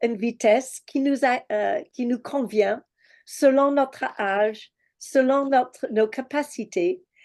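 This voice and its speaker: Very slowly, a woman speaks at a high pitch with ordinary pitch variation. The background is quiet. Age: 60s. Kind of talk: religious teaching. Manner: halting, many hesitations.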